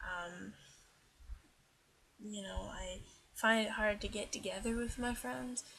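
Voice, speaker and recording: A soft-spoken woman at a medium pitch, with lively intonation, a very slow pace and long, frequent pauses. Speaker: transgender vlogger. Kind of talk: casual talk to camera. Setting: poor-quality built-in microphone, at night. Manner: quiet, soft-spoken.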